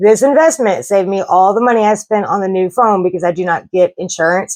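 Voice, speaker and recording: A woman with a Southern US accent speaks at a fairly quick pace, her medium pitch showing ordinary variation. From US South. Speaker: travel vlogger. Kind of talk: casual vlog talk to camera.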